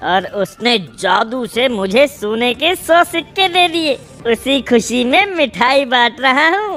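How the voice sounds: This is a put-on character voice that sounds female, pitched high for a woman. It moves at a fairly slow pace over clear background noise.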